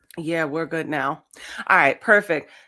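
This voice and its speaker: The woman's tone is animated as she talks. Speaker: podcast host. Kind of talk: podcast interview. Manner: loud.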